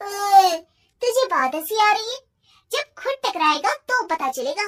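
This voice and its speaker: Squeaky put-on character voice from a woman, extremely high in pitch with very wide pitch swings, at a moderate pace, in dry, close sound with no echo. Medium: cartoon.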